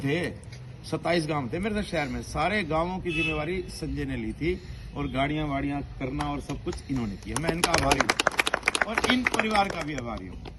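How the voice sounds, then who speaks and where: Lively intonation marks this man's fairly high pitch, heard with audible room echo and noticeable background noise. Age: 60s. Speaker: former state legislator. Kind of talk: speech at a public gathering. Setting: gathering with audience.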